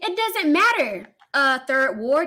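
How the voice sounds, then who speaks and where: A woman speaks. Her voice is raised and projected. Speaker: live streamer. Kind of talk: live stream rant at chat. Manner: loud when passionate; heated, forceful.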